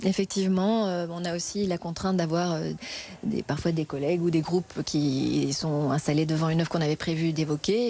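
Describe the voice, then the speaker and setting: The woman's voice is fairly low in pitch, with fairly even intonation. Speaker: museum guide. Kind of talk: interview. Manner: fast.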